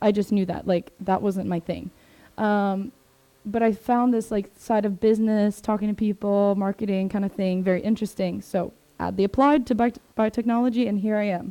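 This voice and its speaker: A woman's medium-pitched voice with an American accent, dark and mellow in tone, at a moderate pace with fairly even intonation, in a very clean recording with a silent background. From Maryland, US (Swedish family). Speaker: biotech sales distributor employee. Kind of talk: presentation to a group. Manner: casual, filler-heavy.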